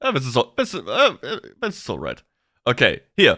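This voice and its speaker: With a German accent, a man speaks at a moderate pace with very wide pitch swings, in a dry, close sound with no echo on a very clean recording against a silent background. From Germany. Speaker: VTuber streamer. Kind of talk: live stream chat. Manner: halting, repeats words.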